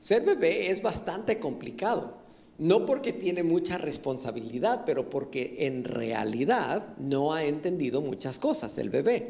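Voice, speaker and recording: A man's fairly high voice with very wide pitch swings, plus audible room echo. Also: fairly slow pace. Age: 60s. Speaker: pastor. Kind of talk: sermon. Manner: halting.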